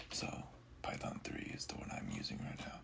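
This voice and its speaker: Noticeable noise sits behind a voice whispering at a moderate speed. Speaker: programming tutorial creator. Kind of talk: screen-recorded coding walkthrough. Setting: at home late at night. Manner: halting, many fillers. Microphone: audio quality may be poor.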